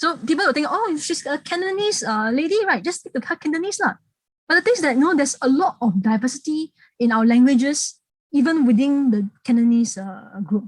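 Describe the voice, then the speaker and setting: A woman's high voice, fairly quick and full of very wide pitch swings, in a dry, close sound with no echo. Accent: Singaporean. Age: 30s. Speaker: heritage speaker. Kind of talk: public talk. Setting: online talk. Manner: halting, repetitive.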